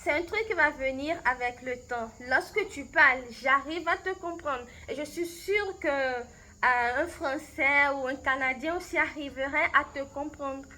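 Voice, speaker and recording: A woman's high, raised and projected voice at a fairly slow pace. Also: ordinary pitch variation. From Benin. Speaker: language coach. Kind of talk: recorded interview answers. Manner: halting, many hesitations and repetitions.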